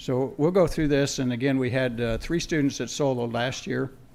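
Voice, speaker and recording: This is a man speaking at a moderate pace. His pitch is medium, with ordinary variation. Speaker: aviation instructor. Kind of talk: award presentation. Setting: school board meeting. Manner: halting.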